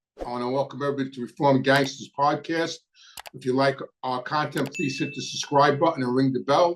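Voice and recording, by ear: A man with a medium-pitched voice talks fairly quickly, his intonation fairly even.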